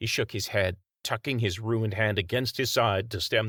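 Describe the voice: Plain reading aloud, quiet background.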